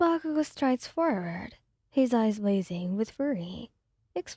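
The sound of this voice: An unforced reading voice comes through with quiet behind it.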